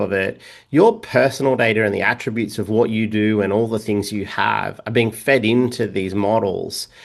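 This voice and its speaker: This man talks with an Australian accent and fairly even intonation. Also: quiet background. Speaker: data governance expert. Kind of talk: podcast interview. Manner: halting, many fillers and repeats.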